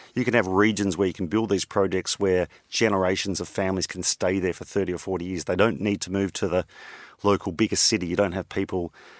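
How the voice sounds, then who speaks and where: A man with an Australian accent and a very deep, low pitch, talking at a fairly quick pace in monotone, flat intonation, on a very clean, silent recording with a dry, close sound and no echo. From Australia (Victoria). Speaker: energy company CEO and entrepreneur. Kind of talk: interview. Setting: studio.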